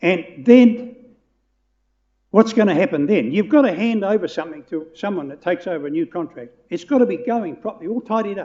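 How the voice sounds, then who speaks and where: With a New Zealand accent, a man speaks at a fairly quick pace in a high voice that makes very wide pitch swings. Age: 80s+. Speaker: public submitter at council hearing. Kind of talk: public hearing submission. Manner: halting, repetitive.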